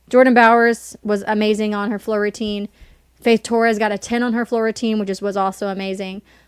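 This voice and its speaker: In a very clean recording with a silent background and a dry, close sound with no echo, a woman with a slight Southern US accent speaks at a moderate pace, her fairly high pitch held in a monotone, flat intonation. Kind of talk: casual chat.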